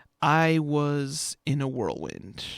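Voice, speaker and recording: A man with an American accent, on a very clean recording with a silent background. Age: 20s. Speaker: student radio host. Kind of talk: casual radio talk.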